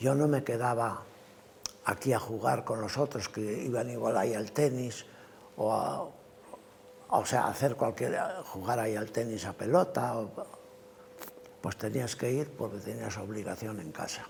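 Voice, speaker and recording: Long, frequent pauses break up a fairly slow pace. Background noise is noticeable. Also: man, medium pitch for a man, ordinary pitch variation. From Cantabria, Spain (Valle de Villaverde). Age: 80s+. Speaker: retired truck driver and livestock farmer. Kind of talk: oral history interview answer.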